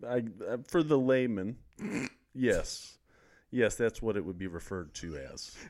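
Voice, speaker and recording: A man with an American accent speaks at a fairly slow pace and a medium pitch, his lively intonation broken by long, frequent pauses and big swings in loudness. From Missouri, US Midwest (small town). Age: 30s. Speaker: corporate sales executive. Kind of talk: casual chat.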